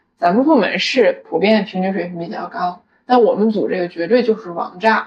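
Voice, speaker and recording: Using a normal speaking voice, a woman talks at a moderate pace. Her pitch is fairly high. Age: 20s. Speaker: podcast co-host. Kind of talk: casual chat.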